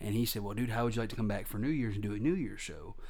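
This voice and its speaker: Audible room echo colors the voice of a man speaking at a medium pitch. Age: 20s. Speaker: stand-up comedian. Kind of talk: casual interview. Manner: animated.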